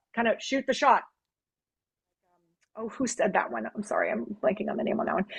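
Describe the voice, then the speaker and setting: A woman speaks in an animated tone at a fairly quick pace, broken by long, frequent pauses. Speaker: business development consultant for design firms. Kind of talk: webinar Q&A. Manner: fast.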